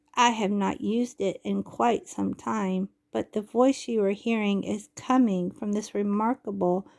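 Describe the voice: The background stays quiet. The delivery is plain reading aloud.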